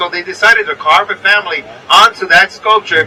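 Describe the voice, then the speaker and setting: Over noticeable background noise, a man uses a raised, projected voice with a high pitch and ordinary pitch variation. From New York. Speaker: tour guide. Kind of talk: guided tour commentary.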